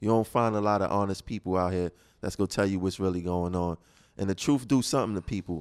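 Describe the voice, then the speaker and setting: A man with an American accent talks at a very fast pace in a very deep, low pitch, with ordinary pitch variation. The recording is very clean and dry, close with no echo, over a silent background. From Brooklyn, New York. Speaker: radio host. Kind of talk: casual chat. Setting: studio.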